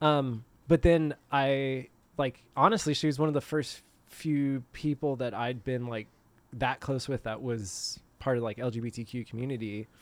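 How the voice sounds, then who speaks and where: An unremarkable speaking voice, moderately paced, its pitch varying in an ordinary way. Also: man, medium pitch for a man. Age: 30s. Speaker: podcast guest. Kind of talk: casual chat. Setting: outdoors.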